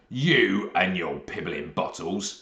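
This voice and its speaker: Booming and loud, a man growls in a put-on character voice pitched very deep and low. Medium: read story. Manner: loud, bullying, ungrammatical.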